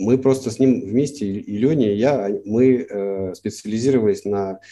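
Against a quiet background, a man speaks with a dark, mellow tone at a medium pitch and ordinary pitch variation. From Russia, St. Petersburg. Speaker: cartoonist. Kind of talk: interview. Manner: halting.

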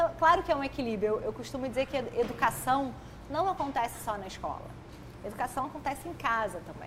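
A woman speaks at a moderate pace with a high pitch and lively intonation. Noticeable background noise sits behind her. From Brazil, Petrópolis (Rio de Janeiro state). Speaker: emotional intelligence educator and author. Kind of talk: podcast interview. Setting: studio.

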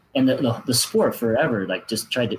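A somewhat breathy man at a fairly quick pace. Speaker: former pro cyclist, athlete marketing manager. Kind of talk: interview conversation.

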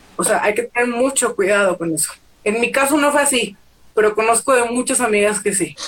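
Against noticeable background noise, a woman speaks at a fairly quick pace in a fairly high pitch, with ordinary pitch variation. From Mexico, Torreón, Coahuila. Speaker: plus-size model and activist. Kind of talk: casual interview chat. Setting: Instagram live video stream.

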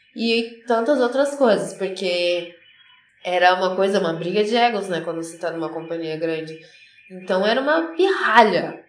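A woman's lively, rising-and-falling intonation amid noticeable background noise and audible room echo. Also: medium pitch for a woman, moderate pace. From São Paulo state, Carapicuíba. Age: 20s. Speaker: professional ballet dancer. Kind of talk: casual interview.

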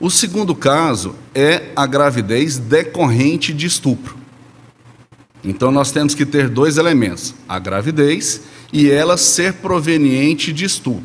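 A man speaks in a normal speaking voice at a fairly high pitch. He goes at a fairly slow pace with lively intonation. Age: 40s. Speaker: lawyer. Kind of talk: expert interview explanation. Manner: formal.

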